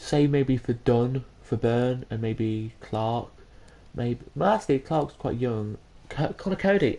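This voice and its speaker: Someone with an English accent speaks at a fairly slow pace. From England. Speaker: gaming streamer. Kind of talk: live gameplay commentary. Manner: halting.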